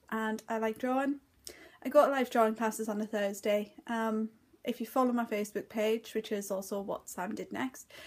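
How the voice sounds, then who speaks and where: In a northeast English accent, a woman speaks at a moderate pace with a fairly high pitch and fairly even intonation, in a very clean recording with a silent background. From northeast England. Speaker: crafts vlogger. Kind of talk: casual vlog chat. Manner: hesitant, filler words.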